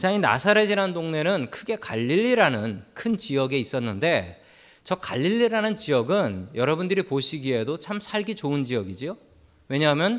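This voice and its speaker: The man's pitch is fairly high with very wide pitch swings, delivered at a moderate pace. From Seoul, South Korea. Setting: church.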